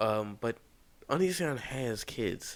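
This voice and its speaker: Quiet, lively speech from a man at medium pitch, in a very clean recording with a silent background. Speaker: YouTube commentator. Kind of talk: casual commentary monologue. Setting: home recording at night. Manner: quiet, held-back talking; halting, many fillers and restarts.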